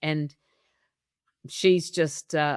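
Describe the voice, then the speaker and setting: Animated Australian-accented woman, dry and close with no echo, on a very clean recording with a silent background. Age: 70s. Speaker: business coach. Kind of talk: testimonial interview.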